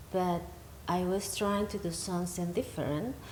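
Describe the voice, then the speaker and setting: In a room with audible echo, a woman speaks at a fairly low pitch with monotone, flat intonation. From Venezuela. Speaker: healing practitioner and musician. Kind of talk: interview. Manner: halting.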